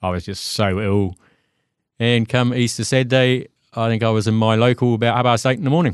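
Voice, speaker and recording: A man talks at a fairly quick pace with ordinary pitch variation over a quiet background. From New Zealand. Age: 50s. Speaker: recovering alcoholic. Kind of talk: testimony.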